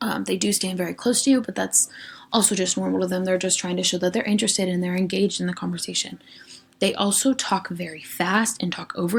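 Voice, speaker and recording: A woman's very fast, medium-pitched speech with vocal fry and ordinary pitch variation. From Western Pennsylvania. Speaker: education student presenter. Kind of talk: recorded class lecture presentation. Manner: casual, frequent ums.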